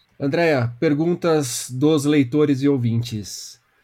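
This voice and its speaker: A man speaks with a fairly high pitch and a somewhat breathy quality. His intonation is lively. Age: 30s. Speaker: podcast host and book columnist. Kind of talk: interview.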